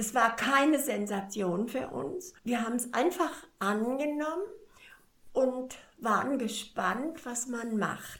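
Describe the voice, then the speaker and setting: A woman speaks very slowly at a high pitch with lively intonation, and audible room echo surrounds her voice. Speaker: cancer patient. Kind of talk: interview. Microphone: poor recording quality.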